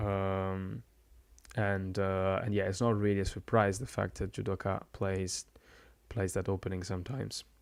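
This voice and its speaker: On a very clean recording with a silent background, a soft-spoken man talks at a moderate pace in a very deep, low pitch with monotone, flat intonation. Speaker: game commentator and streamer. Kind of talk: live commentary. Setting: live stream. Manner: halting.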